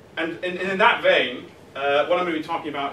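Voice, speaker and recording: A man talks very rapidly, his words carrying noticeable background noise and audible echo from the room. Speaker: politics lecturer. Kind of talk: public talk. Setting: lecture hall with audience. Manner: hesitant, many fillers.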